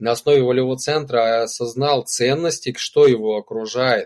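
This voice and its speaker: A man talks with a medium pitch, keeping to a moderate pace. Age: 40s. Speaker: spiritual practitioner and retreat leader. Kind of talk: casual interview chat. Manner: animated.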